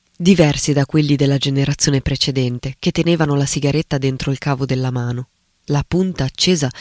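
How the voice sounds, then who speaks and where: A man speaks at a moderate pace in an ordinary speaking voice. His pitch is fairly high, and his intonation stays fairly even. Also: dry, close sound with no echo. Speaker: writer and critic. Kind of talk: reading aloud an essay.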